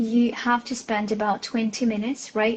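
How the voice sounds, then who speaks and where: Noticeable background noise behind a woman's moderately paced speech, her pitch fairly high and her intonation fairly even. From Russia. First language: Russian. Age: 20s. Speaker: English teacher. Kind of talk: casual interview. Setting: Instagram live.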